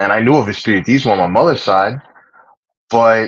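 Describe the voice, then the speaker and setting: At a moderate pace, a man speaks with medium pitch and ordinary pitch variation. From United States, Puerto Rican family. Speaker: livestream host and religious practitioner. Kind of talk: casual chat. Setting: livestream.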